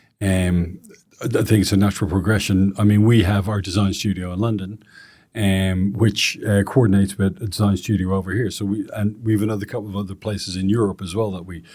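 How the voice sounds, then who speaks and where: In a Dublin accent, a man speaks very fast at a fairly low pitch, with a dark, mellow tone. His intonation is monotone and flat, and the recording is very clean with a silent background. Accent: Irish (Dublin). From Ireland, Dublin. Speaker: real estate executive, interviewer. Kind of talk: interview conversation.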